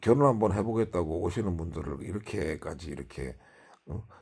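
This is a man with a dark, mellow tone. The recording is very clean, with a silent background. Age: 50s. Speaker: YouTuber. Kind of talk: casual monologue vlog. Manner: halting, many fillers.

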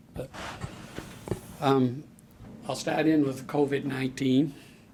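Noticeable background noise sits behind a man speaking at a medium pitch in a monotone, flat intonation. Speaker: ambulance service official. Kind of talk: public meeting presentation.

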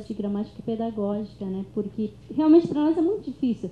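With light background noise and audible room echo, a woman talks. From southern Brazil, Kaingang village; southern Brazil. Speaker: panelist. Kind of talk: academic panel talk. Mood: relaxed, smiling. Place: classroom. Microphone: handheld.

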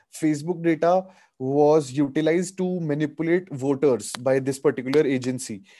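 Against a quiet background, a man with a dark, mellow tone talks at a moderate pace with fairly even intonation. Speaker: webinar presenter, lawyer. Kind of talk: lecture. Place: home room. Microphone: video call.

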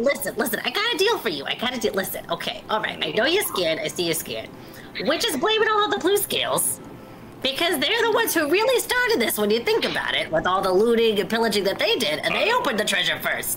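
A put-on character voice moves at a fairly quick pace over clear background noise. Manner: fast-talking, wheedling.

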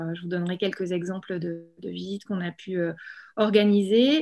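Over a quiet background, a woman talks with fairly even intonation. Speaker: entrepreneur in social economy. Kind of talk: webinar talk about career path. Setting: video call. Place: home room. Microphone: webcam.

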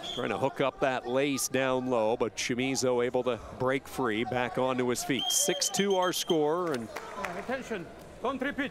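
A man's fairly slow speech at a very even loudness, with noticeable background noise. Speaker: wrestling commentator. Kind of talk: live sports commentary. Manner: knowledgeable, giving background on athletes.

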